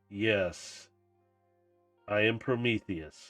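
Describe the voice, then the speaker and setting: Booming, fairly low put-on character voice from a man, faint music in the background. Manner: grand, resonant.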